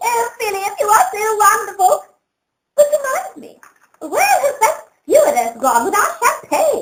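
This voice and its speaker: A put-on character voice, squeaky and extremely high-pitched, at a moderate pace. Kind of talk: comic overacting. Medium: stage play. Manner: gushing, melodramatic.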